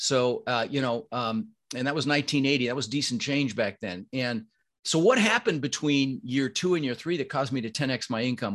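A man with a General American accent at a very fast pace, with ordinary pitch variation. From Denver, Colorado, US (immigrated from Netherlands at six). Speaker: real estate investor. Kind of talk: interview. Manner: animated.

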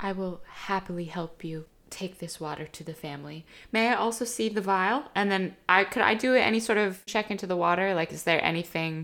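Here is a woman with a plain, everyday voice at medium pitch, moving at a fairly quick pace with ordinary pitch variation and big swings in loudness. The recording is very clean, with a silent background. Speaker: tabletop game player.

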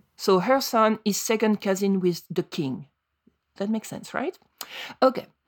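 Long, frequent pauses from a woman of medium pitch with a non-native accent. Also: ordinary pitch variation, moderate pace, dry, close sound with no echo. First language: French. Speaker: podcast co-host. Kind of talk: casual chat.

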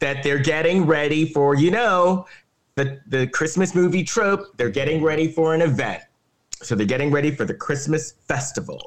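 This man's tone is animated, with ordinary pitch variation. His pitch sits fairly high. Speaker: podcast host. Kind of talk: casual banter podcast. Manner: animated, jokey.

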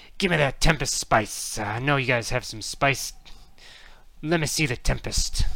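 A put-on, growling character voice at a low-to-middle pitch and a moderate pace. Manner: snarling, desperate.

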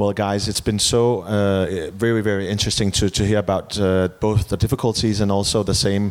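A man with a Danish accent talks at a moderate pace in a fairly low pitch. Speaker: TV host and journalist. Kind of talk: event moderation. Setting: stage with audience. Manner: animated.

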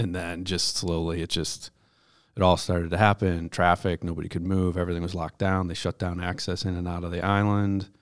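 A man with an American accent and a very deep, low pitch speaks at a fairly quick pace in a monotone, flat intonation on a very clean recording with a silent background. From Buffalo, New York. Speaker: nonprofit market director. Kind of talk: casual interview.

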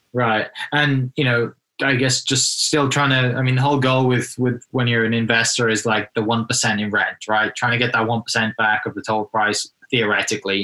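Speaking in a British accent, a man with a medium pitch keeps a monotone, flat intonation, very even loudness and a fairly quick pace. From UK. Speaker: podcast host and real estate agent. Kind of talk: interview conversation.

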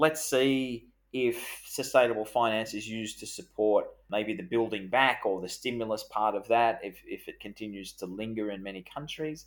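Bright and sharp in tone, a man talks at a moderate pace. He has an Australian accent. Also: very clean recording, silent background. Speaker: podcast host. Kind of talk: podcast discussion about finance.

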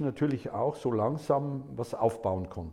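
Vocal fry in a male voice, plus ordinary pitch movement. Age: 60s. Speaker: lawyer. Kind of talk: interview answers.

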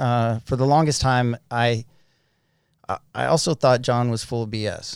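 In an unremarkable speaking voice, a man with an American accent talks fairly slowly at medium pitch with fairly even intonation. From Utah. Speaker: person in addiction recovery, business owner. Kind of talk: testimony.

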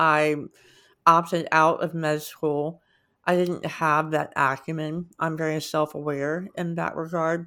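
On a very clean recording with a silent background, a woman speaks at a fairly slow pace, her very deep, low pitch held in a monotone, flat intonation. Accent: American. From US, rural West Virginia (Parkersburg). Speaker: former company CEO. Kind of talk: interview.

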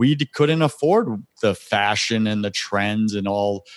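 A man with an American accent speaks in a medium pitch with lively intonation. The sound is dry and close with no echo, in a very clean recording with a silent background. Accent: New York accent noticed by others. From US Northeast, Long Island, New York. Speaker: spiritual coach and podcast host. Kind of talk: interview, personal testimony.

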